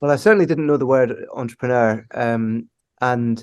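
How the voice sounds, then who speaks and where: In a Scottish accent, a man talks at a fairly quick pace and a medium pitch with ordinary pitch variation. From Scotland, Aberdeen. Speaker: company founder and CEO. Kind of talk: podcast interview. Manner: hesitant, many fillers.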